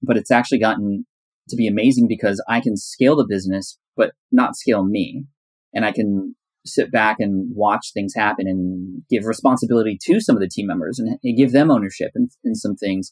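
A man with an ordinary speaking voice talks in a medium pitch with ordinary pitch variation, the sound dry and close with no echo. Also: fairly quick pace. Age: 30s. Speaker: entrepreneur and podcaster. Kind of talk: interview conversation.

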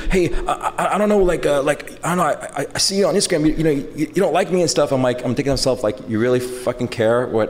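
A man's very fast, lively speech at a fairly high pitch, with very even loudness, hardly any pauses and noticeable background noise. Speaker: skate shop owner. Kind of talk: live podcast interview. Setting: stage with audience.

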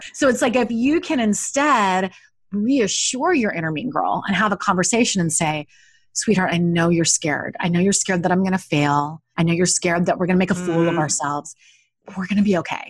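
Speaking at a fairly quick pace, a woman with a medium pitch sounds somewhat breathy and uses lively intonation. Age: 40s. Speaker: life coach and author. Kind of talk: interview conversation.

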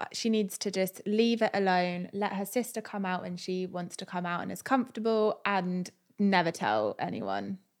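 With an English accent, a woman speaks with fairly even intonation and hardly any pauses on a very clean recording with a silent background. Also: medium pitch for a woman, moderate pace. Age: 20s. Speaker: content creator. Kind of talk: casual chat.

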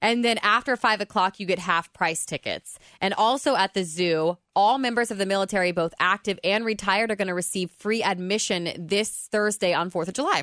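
In a very clean recording with a silent background and a dry, close sound with no echo, a woman with an unremarkable speaking voice and medium pitch talks at a fairly quick pace with hardly any pauses and ordinary pitch variation. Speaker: radio co-host. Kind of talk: radio DJ patter, breezy banter swapping entertainment news and local tidbits. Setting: radio studio. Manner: light, chatty, quick to laugh; upbeat and playful, finishing co-host's sentences.

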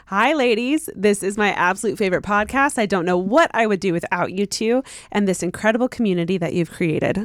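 A raspy put-on character voice from a woman at medium pitch, fairly quick with hardly any pauses and very even loudness. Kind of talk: reading a listener's message aloud. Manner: speed reading, fast.

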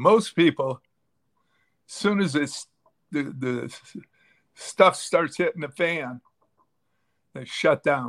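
Speaking at a very slow pace with long, frequent pauses, a man with an American accent and a fairly high pitch uses lively intonation and big swings in loudness. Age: 80s+. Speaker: fitness coach. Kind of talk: interview. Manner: halting, repetitive stammering.

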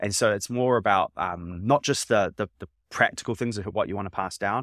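A man with a New Zealand accent speaks with fairly even intonation on a very clean, dry, close recording with no echo and a silent background. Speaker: startup founder. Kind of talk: interview. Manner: halting.

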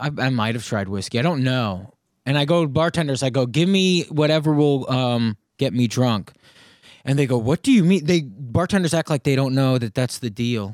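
In a very clean recording with a silent background, a man speaks in an unremarkable speaking voice at a medium pitch. He keeps a moderate pace with lively intonation. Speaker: comedian. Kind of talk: casual chat.

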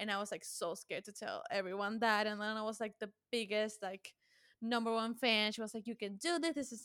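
Recorded very cleanly against a silent background, a woman with a Spanish accent talks at a fairly quick pace in a fairly high pitch. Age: 20s. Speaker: associate producer. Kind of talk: casual chat.

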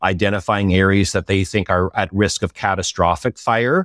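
With an Ottawa Valley accent, a man speaks at a moderate pace in a very deep, low pitch and fairly even intonation, the sound dry and close with no echo on a very clean recording with a silent background. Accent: Canadian English, Ottawa Valley. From Eastern Ontario, Canada (Ottawa Valley). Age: 40s. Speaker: industry association head. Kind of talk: interview. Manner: halting, many repeated words.

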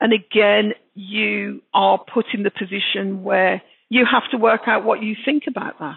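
Speaking at a fairly slow pace, the woman has a medium-pitched voice. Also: ordinary pitch variation. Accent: Birmingham. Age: 60s. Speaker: author. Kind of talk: interview.

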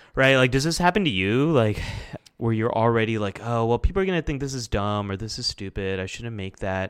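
With an American accent, a man uses a normal speaking voice at a medium pitch, talking at a fairly quick pace with lively intonation. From US, Pakistani American family. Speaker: clinical psychologist and YouTuber. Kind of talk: interview conversation.

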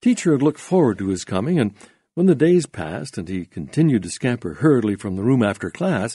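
The speaker uses a natural reading voice. It is a natural reading voice throughout.

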